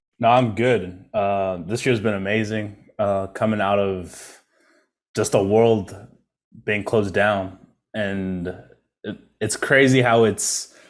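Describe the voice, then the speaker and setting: A man with an American accent talks in a fairly low voice with fairly even intonation. His pace is very slow, with long, frequent pauses. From South Africa, Johannesburg. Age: 20s. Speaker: advertising entrepreneur. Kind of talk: interview.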